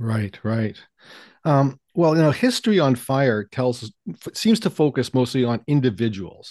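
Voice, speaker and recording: Man with a Canadian accent, a plain, everyday voice, medium pitch, lively intonation and a fairly slow pace, dry, close sound with no echo, quiet background. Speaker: history podcast host. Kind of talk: casual interview conversation.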